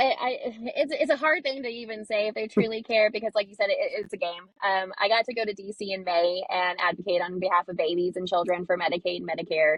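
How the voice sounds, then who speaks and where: A woman speaks loudly at a very fast pace. Her pitch is medium, with ordinary pitch variation. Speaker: community organizer and advocate. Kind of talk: interview.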